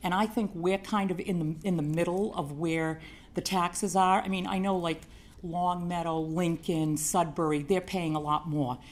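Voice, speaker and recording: A woman with a plain, everyday voice talks at a moderate pace, her fairly low pitch held in a fairly even intonation. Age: 60s. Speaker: resident speaking at public hearing. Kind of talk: public comment at city council meeting.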